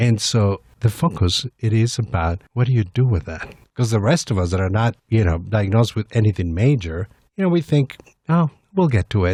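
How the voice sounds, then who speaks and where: With lively intonation and a fairly low pitch, a somewhat breathy man speaks at a moderate pace in a dry, close sound with no echo. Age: 50s. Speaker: executive director of an HIV/AIDS service nonprofit. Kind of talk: radio interview. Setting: studio.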